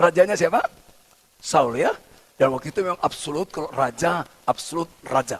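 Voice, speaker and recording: A man speaks loudly with a high pitch. His pace is moderate and his pitch variation ordinary. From Batak, North Sumatra, Indonesia. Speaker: pastor. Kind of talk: sermon. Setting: church service, also streamed on Zoom.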